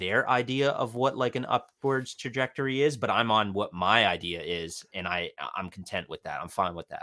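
In a Canadian accent, the bright, sharp voice moves at a moderate pace with ordinary pitch variation, on a very clean recording with a silent background. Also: man. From Ontario, Canada. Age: 20s. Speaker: podcast listener. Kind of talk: casual chat.

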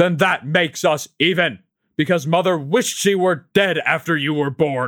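A man speaks in a put-on character voice, fairly high in pitch. His pace is moderate and his pitch varies in an ordinary way. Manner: snapped, sharp.

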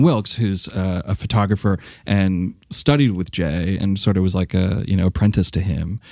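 Moving at a moderate pace with hardly any pauses, a man uses an unremarkable speaking voice at a fairly low pitch. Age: 30s. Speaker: film programmer. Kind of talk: casual chat.

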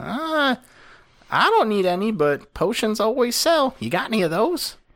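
A man performs a put-on character voice, pitched high. His pitch swings very widely at a moderate pace. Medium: actual play. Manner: wry, impatient.

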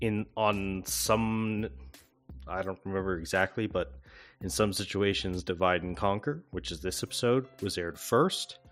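Music plays in the background as a man talks at a moderate pace. His pitch is fairly low, and his intonation is lively. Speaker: tabletop game master and podcast host. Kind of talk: announcement break. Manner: low energy.

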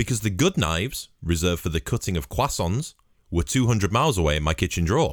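A man speaks in a very deep, low pitch. His voice carries vocal fry. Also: very clean recording, silent background. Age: 20s. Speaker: podcast host. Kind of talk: casual monologue. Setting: home studio with microphone.

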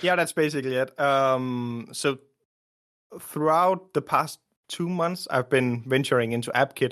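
Against a quiet background, a man with a Danish accent talks at a fairly slow pace in a fairly high pitch with ordinary pitch variation. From Denmark. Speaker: indie app developer. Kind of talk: casual interview.

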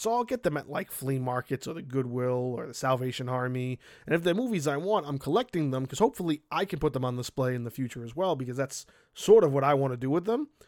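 With an American accent, a man speaks very fast. The sound is close and dry, without any echo. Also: ordinary pitch variation. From Brooklyn, New York. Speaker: podcaster. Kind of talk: personal monologue. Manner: halting.

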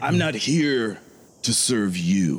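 A man's growling, put-on character voice at medium pitch with very wide pitch swings. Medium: actual play. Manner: grandiose, preacherly.

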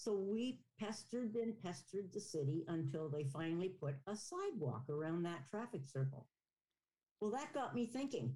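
A woman speaks at a moderate pace in a somewhat breathy voice, her pitch swinging very widely. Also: medium pitch for a woman, very even loudness. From Ontario, Canada. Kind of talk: interview.

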